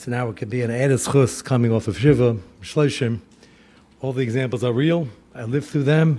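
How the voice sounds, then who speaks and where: A man with an American accent talks at a fairly quick pace in a dark, mellow, medium-pitched voice with ordinary pitch variation. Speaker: rabbi. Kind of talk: lecture.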